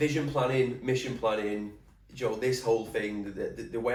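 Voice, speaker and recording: A man is talking. There is somewhat of a breathy quality to his voice. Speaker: podcast host, personal trainer. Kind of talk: casual solo podcast talk.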